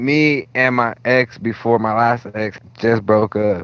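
This man has an American accent. His pitch is medium. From Stockton, California. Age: 20s. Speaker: DJ. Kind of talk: casual chat.

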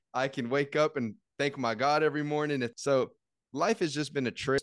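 A man speaks at a fairly quick pace in an animated tone, with a dry, close sound, no echo and a quiet background. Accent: American. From Texas, San Antonio. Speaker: lifestyle and travel content creator, podcaster. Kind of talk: casual chat.

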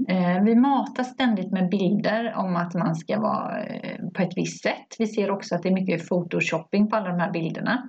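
A woman talks at a moderate pace with a medium pitch. Her voice has vocal fry and ordinary pitch variation. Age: 50s. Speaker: podcast co-host. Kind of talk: casual chat.

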